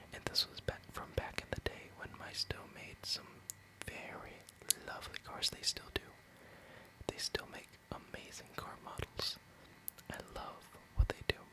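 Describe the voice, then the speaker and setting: Amid noticeable background noise, a whisper proceeds at a fairly slow pace, broken by long, frequent pauses. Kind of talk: ASMR Hot Wheels collection review, casual talk to camera. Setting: studio, close microphone. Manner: whispered, soft-spoken.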